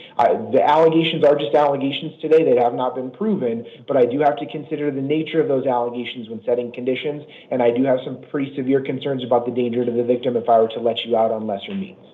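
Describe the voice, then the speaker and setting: With audible room echo, a man rattles along at a very fast pace with hardly any pauses, medium pitch and ordinary pitch variation. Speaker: judge. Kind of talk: court hearing.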